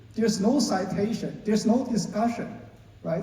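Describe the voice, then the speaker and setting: A man with a Chinese accent talks at a high pitch. The room echo is audible, and there is noticeable background noise. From China. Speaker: lawyer. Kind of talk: panel discussion. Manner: halting, many fillers.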